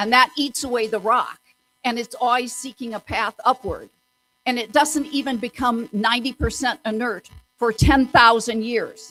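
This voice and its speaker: A loud woman speaks with high pitch and a bright, sharp tone in a dry, close sound with no echo. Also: moderate pace. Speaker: community activist presenter. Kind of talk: public presentation. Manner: animated.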